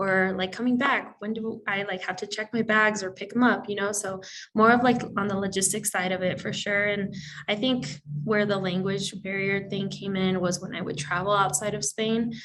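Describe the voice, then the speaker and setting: Fairly even intonation at a moderate pace, in a Spanish accent. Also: woman, medium pitch for a woman. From Mexican heritage. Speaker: study abroad alumna. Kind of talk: panel discussion.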